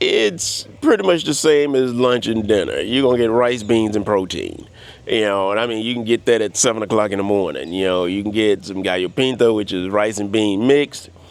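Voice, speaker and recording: In a plain, everyday voice, a man with a fairly low pitch and an American accent talks at a fairly quick pace with ordinary pitch variation and hardly any pauses. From US South (Louisiana and Florida). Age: 60s. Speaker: vlogger. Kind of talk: casual monologue vlog. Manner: relaxed, many fillers.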